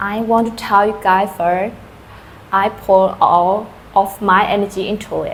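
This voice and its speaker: Over noticeable background noise, a woman speaks fairly slowly in a monotone, flat intonation. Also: medium pitch for a woman. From Thailand, Karen community. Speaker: true crime channel host. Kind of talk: casual channel intro. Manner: halting, with fillers.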